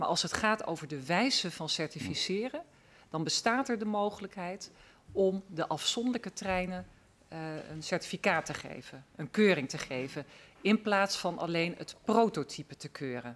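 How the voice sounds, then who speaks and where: With a plain, everyday voice, a woman speaks at medium pitch and a moderate pace, her intonation lively and her loudness swinging widely. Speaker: member of parliament; witness. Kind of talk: formal hearing questioning. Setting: parliamentary hearing room. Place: hall. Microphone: podium.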